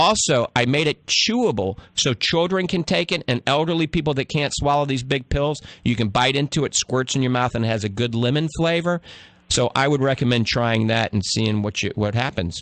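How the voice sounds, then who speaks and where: With an American accent, a man speaks at a moderate pace in a medium pitch with lively intonation and very even loudness, the sound dry and close with no echo against a quiet background. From US South, New Orleans. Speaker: radio health show host, doctor. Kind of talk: call-in radio advice with product pitch.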